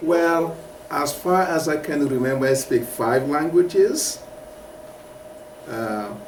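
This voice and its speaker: Speaking at a very slow pace with long, frequent pauses, a man with a fairly high pitch and ordinary pitch variation is heard over noticeable background noise and audible room echo. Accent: West African. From Mauritania. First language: Soninke. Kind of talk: interview. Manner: halting.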